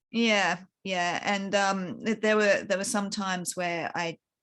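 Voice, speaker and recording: A woman with an Australian accent at a fairly slow pace with fairly even intonation, in a very clean recording with a silent background. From Queensland, Australia. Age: 40s. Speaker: author. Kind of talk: interview testimony. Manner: halting.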